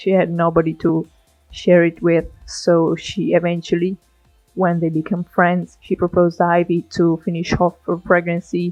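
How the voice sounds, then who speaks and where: Over music in the background, a woman with a non-native accent speaks at a moderate pace in a fairly low, monotone, flat voice. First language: not English. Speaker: gaming YouTuber. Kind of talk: casual let's play commentary.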